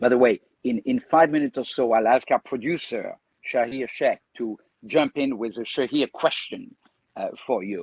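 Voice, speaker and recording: A man with a slight French accent, at a moderate pace, in a dry, close sound with no echo. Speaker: podcast host. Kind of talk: podcast interview. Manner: halting.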